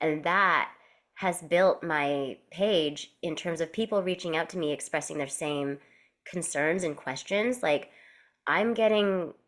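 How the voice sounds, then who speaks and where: Here a woman has an ordinary speaking voice, fairly low in pitch with ordinary pitch variation. The recording is very clean, with a silent background. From Canada. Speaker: actor and real estate agent. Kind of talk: podcast interview.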